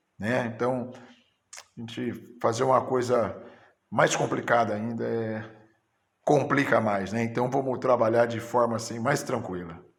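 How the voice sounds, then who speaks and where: Long, frequent pauses break up a man's medium-pitched speech, heard with audible room echo. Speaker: teacher. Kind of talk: teacher training lecture. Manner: halting.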